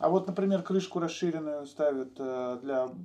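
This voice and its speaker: A man's fairly high-pitched, dark and mellow voice at a moderate pace, with ordinary pitch variation. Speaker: enduro video channel host. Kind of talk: casual chat interview. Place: garage. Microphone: poor sound.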